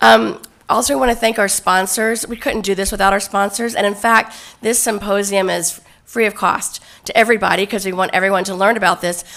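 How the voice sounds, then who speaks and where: A woman speaks at a medium pitch and a moderate pace, her tone bright and sharp. There's vocal fry, and her pitch varies in an ordinary way. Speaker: event chair and host. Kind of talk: event opening remarks and moderation. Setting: conference stage with audience.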